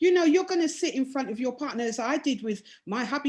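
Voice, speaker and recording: The speaker is a woman going at a very fast pace. Very wide swings mark her pitch. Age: 60s. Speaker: domino player and women's team organiser. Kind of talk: video call discussion.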